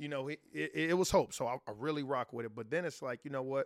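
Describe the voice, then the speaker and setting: In a very clean recording with a silent background and a dry, close sound with no echo, a man speaks at a fairly quick pace with ordinary pitch variation. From Chicago, south side. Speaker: podcast co-host. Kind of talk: casual chat. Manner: animated.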